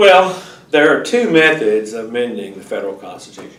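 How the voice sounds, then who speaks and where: A man with an Arkansas accent and lively intonation is heard over noticeable background noise with audible room echo. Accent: Southern US (Arkansas). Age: 60s. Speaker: civics teacher and local politician. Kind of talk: lecture with Q&A. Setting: public library classroom. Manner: halting, many fillers and restarts.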